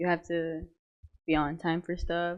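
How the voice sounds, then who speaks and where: A woman speaks at a moderate pace in a fairly low voice. She has a slight Mexican accent. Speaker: college student athlete. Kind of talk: casual interview chat.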